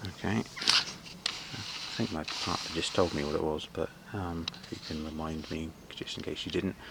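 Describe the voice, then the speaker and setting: A British accent comes through at a moderate pace. There is noticeable background noise. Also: man. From UK. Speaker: amateur gardener vlogger. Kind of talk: casual walkthrough vlog. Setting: outdoors in garden. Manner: halting, many fillers.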